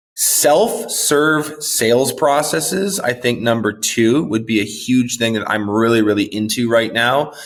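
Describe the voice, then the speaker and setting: A man with an American accent talks at a moderate pace. His voice sits at medium pitch with ordinary pitch variation. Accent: sounds American rather than Canadian. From Canada. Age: 30s. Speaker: marketing director and podcast host, guest. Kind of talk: interview conversation.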